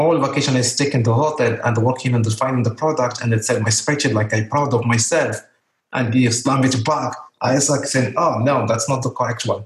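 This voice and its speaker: A man speaks at a fairly quick pace in a medium-pitched, somewhat breathy voice, with very even loudness. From Morocco. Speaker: Amazon seller. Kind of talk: interview. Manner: energetic; halting.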